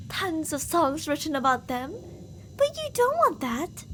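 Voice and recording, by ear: Put-on character voice with a fairly bright tone, big pitch swings and a fairly slow pace. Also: woman, high pitch for a woman.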